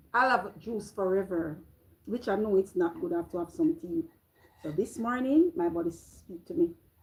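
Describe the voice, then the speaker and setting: Somewhat breathy and animated, a woman speaks at a medium pitch and moderate pace, with very wide pitch swings and big swings in loudness. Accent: Jamaican. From Jamaica. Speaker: vlogger. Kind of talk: casual live-stream chat. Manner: halting.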